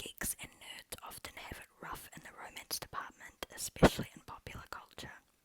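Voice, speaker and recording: The speaker whispers at a moderate pace. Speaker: ASMR creator. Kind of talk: reading aloud from a website. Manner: whispered.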